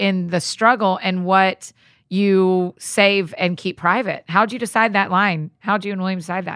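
A woman speaks in an animated tone with a Southern US accent, her pitch medium. The recording is very clean with a silent background and a dry, close sound with no echo. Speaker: podcast host. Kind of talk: interview. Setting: studio.

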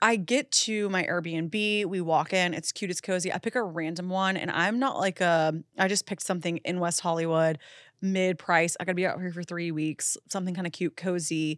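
Recorded very cleanly with a silent background, a woman speaks with ordinary pitch variation in a dry, close sound with no echo. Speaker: podcast host, intuitive medium. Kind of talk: casual chat. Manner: fast talker.

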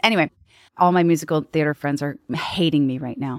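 Dry and close with no echo, this very clean recording has a silent background. A woman speaks in an ordinary speaking voice at a moderate pace, with ordinary pitch variation. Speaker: comedic performer and singer. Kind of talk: casual chat. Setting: studio.

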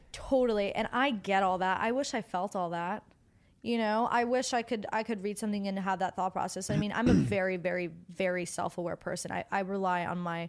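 With music in the background, a woman talks at a fairly quick pace, medium in pitch and fairly even in intonation. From New Jersey, near New York City. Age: 20s. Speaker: actress and model scout. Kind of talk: casual chat.

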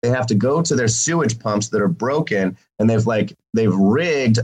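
A man talks at a moderate pace with an American accent and a medium pitch. His voice is somewhat breathy, with ordinary pitch variation. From Missouri, Jefferson City. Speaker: political candidate. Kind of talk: interview.

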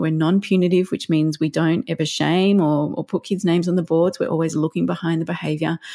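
A woman with an Australian accent speaks at a fairly quick pace in a fairly low, dark, mellow voice, with monotone, flat intonation and very even loudness, in a dry, close sound with no echo. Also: hardly any pauses, very clean recording, silent background. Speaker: parenting counsellor and educator. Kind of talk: podcast interview.

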